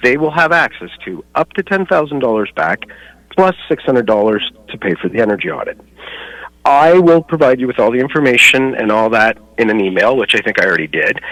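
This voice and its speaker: The voice has a bright, sharp tone and very wide pitch swings at a fairly quick pace, in a dry, close sound with no echo. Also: man, medium pitch for a man. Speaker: home inspector and energy advisor. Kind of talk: radio interview. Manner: fast.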